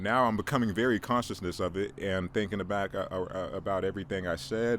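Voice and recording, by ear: At a moderate pace, a man speaks with a low pitch.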